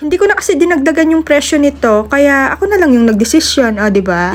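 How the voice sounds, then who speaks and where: Amid noticeable background noise, a woman speaks in an animated tone at a high pitch with very wide pitch swings. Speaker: cake baker vlogger. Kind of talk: vlog voice-over. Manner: energetic.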